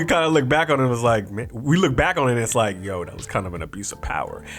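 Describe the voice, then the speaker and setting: A man talks with hardly any pauses and very wide pitch swings over noticeable background noise. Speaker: youtube commentator. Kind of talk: casual commentary. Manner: casual, conversational.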